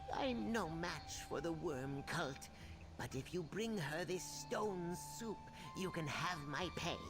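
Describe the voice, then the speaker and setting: A put-on character voice at a middle pitch, delivered at a fairly slow pace. Loud music plays behind it. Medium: video game. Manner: worried, earnest.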